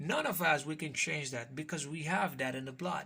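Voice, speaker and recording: This man has a fairly high pitch, a bright, sharp tone and a non-native accent, with ordinary pitch variation, in a very clean recording with a silent background. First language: Spanish. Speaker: call center worker and YouTuber. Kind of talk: casual vlog. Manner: halting, with fillers.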